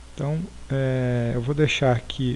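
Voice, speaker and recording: A man's voice sits at a medium pitch, delivered in a flat monotone. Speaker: programming teacher. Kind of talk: tutorial. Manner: halting, many fillers.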